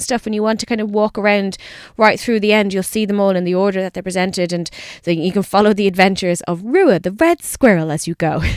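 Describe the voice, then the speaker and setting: On a very clean recording with a silent background and a dry, close sound with no echo, a woman speaks at a fairly quick pace with a Dublin accent. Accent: Irish (Dublin). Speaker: radio host. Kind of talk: radio presenting. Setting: studio.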